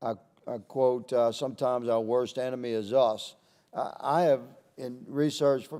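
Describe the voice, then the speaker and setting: Delivered at a moderate pace, the voice has a dark, mellow tone and fairly even intonation on a very clean recording with a silent background. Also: man. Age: 60s. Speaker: congressman, army veteran. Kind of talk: committee hearing questioning. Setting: congressional hearing room. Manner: halting, repeats words.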